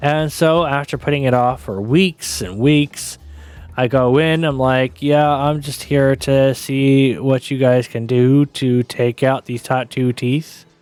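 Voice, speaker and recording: A man mumbles at a very slow pace in a medium-pitched voice. Music plays in the background. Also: fairly even intonation. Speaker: streamer. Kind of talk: casual chat. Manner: mumbling.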